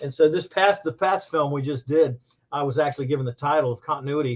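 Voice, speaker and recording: A man with an American accent speaks at a fairly quick pace and fairly high pitch, his voice somewhat breathy. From Florida, Tampa. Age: 60s. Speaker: personal injury attorney and filmmaker. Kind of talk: casual interview chat.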